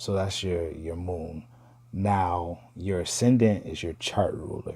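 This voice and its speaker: A man speaks at a very slow pace in a very deep, low pitch with fairly even intonation. His tone is dark and mellow, and somewhat breathy. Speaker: astrology video host. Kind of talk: casual talk to viewers. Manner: casual, hesitant with fillers.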